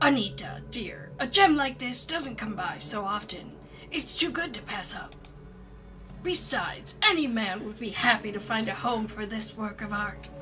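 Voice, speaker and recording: The speaker uses a put-on character voice at a fairly high pitch. Music plays clearly in the background. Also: moderate pace. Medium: game stream. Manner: eager, enthusiastic.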